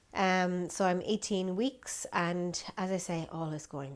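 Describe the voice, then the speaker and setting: A woman with an Irish accent speaks at a very slow pace in a very clean recording with a silent background. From Ireland. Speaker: vlogger and yoga teacher. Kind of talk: casual vlog update.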